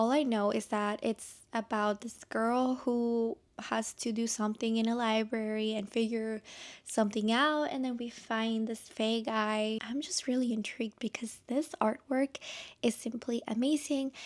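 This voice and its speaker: A woman with a non-native accent, fairly high in pitch, at a fairly slow pace, on a very clean recording with a silent background. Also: fairly even intonation. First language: not English. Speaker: book content creator. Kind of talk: casual talk to camera.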